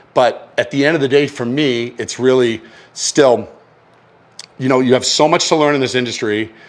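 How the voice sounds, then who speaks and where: An animated male voice at a medium pitch, with a Boston accent. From Massachusetts. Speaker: chef. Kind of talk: casual chat; cooking demonstration. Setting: home kitchen.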